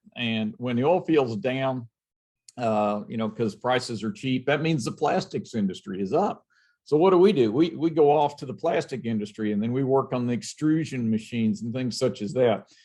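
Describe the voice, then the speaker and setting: Over a quiet background, a man at medium pitch talks at a moderate pace with a dark, mellow tone and lively intonation. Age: 60s. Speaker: robotics company owner. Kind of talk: interview.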